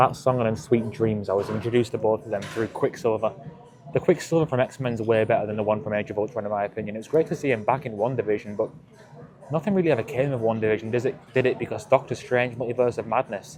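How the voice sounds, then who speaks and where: A man talks at a very fast pace with ordinary pitch variation. Noticeable background noise is audible. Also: medium pitch for a man. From England. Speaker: fitness vlogger. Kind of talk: casual vlog monologue. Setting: gym.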